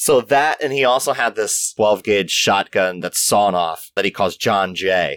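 A man's fairly low voice, a plain, everyday voice, with an American accent, moderate pace, ordinary pitch variation, and dry, close sound with no echo. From US, Maryland (near Baltimore). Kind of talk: casual interview chat.

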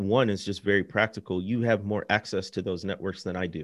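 Against a quiet background, a man with an American accent speaks at a moderate pace in an ordinary speaking voice, with fairly low pitch and ordinary pitch variation. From US Midwest. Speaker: author. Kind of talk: interview conversation.

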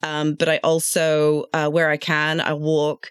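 A London accent on a very clean recording with a silent background, the sound dry and close with no echo. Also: woman. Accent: British (London). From London, England. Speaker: traffic and safety engineer. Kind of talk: casual professional discussion.

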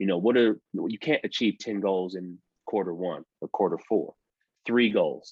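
Man with an American accent and an ordinary speaking voice, moderate in pace with fairly even intonation, in a dry, close sound with no echo and a quiet background. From Detroit, Michigan. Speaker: former pro football player and coach. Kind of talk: podcast interview.

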